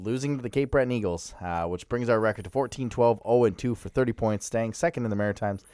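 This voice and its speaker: A man talks at a fairly quick pace in a plain, everyday voice, with medium pitch and ordinary pitch variation, on a very clean recording with a silent background. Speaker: hockey podcast co-host. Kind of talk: casual sports chat. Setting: studio.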